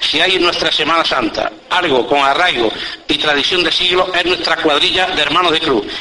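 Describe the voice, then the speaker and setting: In an Andalusian accent, a man with a high pitch speaks in a solemn tone at a moderate pace, with ordinary pitch variation and very even loudness. Noticeable background noise runs underneath. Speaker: Holy Week orator (pregonero). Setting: public event with audience, radio-recorded. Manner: solemn, measured and ceremonious, rhetorical; storytelling tone in anecdotes.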